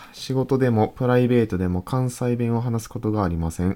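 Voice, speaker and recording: In a Kansai accent, a man talks at a moderate pace and medium pitch. His intonation stays fairly even. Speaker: podcast co-host. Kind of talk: casual chat. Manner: reads listener letters aloud.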